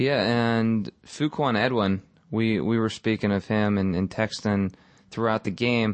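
Here is a man with an unremarkable speaking voice and a fairly low pitch. He goes at a fairly slow pace with very even loudness and fairly even intonation. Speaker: podcast host. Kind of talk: casual sports podcast chat.

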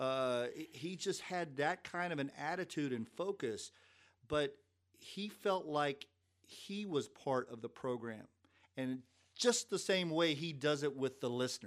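Speaking with a Kentucky accent, a man uses a fairly high pitch and lively intonation. His pace is fairly slow. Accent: Kentucky Southern US. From Lexington, Kentucky. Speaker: former sports information director. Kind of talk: casual interview storytelling.

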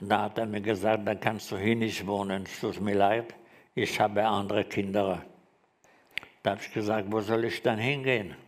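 Long, frequent pauses from a man with fairly low pitch, monotone, flat intonation, and a moderate pace, in audible room echo. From Germany, Frankfurt. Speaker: Holocaust survivor. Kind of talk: testimony. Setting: stage with audience. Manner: halting.

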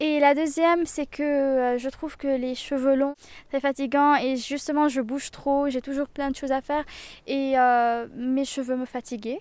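A woman's high-pitched voice in monotone, flat intonation, on a very clean recording with a silent background. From southern Lebanon. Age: young. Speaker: student. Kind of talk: interview. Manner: halting.

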